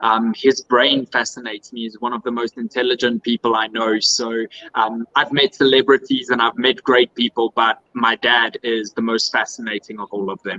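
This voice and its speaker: At a moderate pace with hardly any pauses, a man with a South African accent speaks at a medium pitch in a bright, sharp tone with fairly even intonation, in a dry, close sound with no echo. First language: Afrikaans. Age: 30s. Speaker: pageant contestant. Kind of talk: interview.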